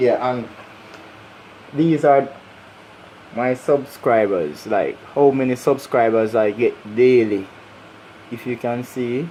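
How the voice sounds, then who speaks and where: A man with a Jamaican accent at a very slow pace, medium in pitch with ordinary variation, long and frequent pauses, and noticeable background noise. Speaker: YouTuber. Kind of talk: casual vlog. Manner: animated.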